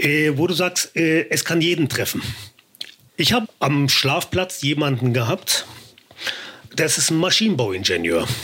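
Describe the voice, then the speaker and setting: A man with a fairly high pitch talks at a fairly slow pace, using lively intonation and long, frequent pauses over noticeable background noise. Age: 50s. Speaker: formerly homeless man turned on-camera personality. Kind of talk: casual interview.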